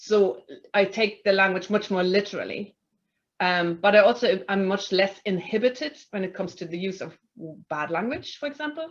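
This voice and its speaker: A woman with a German accent talks at a moderate pace, her loudness swinging widely. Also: medium pitch for a woman, lively intonation. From Germany. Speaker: tribunal chair. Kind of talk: panel discussion. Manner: halting, many fillers.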